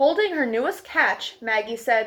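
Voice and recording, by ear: A woman speaks with a fairly high pitch, lively intonation and a fairly bright tone.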